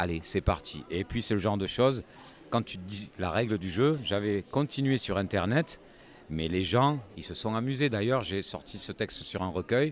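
A man talks at a moderate pace in an ordinary speaking voice. His pitch is fairly low and his intonation lively. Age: 50s. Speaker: singer-songwriter. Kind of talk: casual interview. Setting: festival village.

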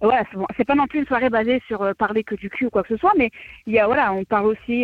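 At a very fast pace, a woman speaks in a fairly high pitch with ordinary pitch variation. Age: 20s. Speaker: caller. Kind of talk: radio call-in chat.

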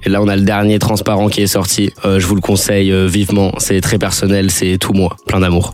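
Over noticeable background noise, the voice keeps a moderate pace, monotone, flat intonation and very even loudness. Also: man, fairly low pitch for a man, hardly any pauses. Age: 20s. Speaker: rapper. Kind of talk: radio interview.

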